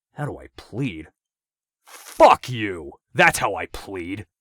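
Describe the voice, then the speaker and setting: In a put-on character voice, a man growls at a very slow pace, his fairly low pitch taking very wide swings and his loudness rising and falling sharply, all in a dry, close sound with no echo. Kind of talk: crude, profane. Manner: angry, defiant.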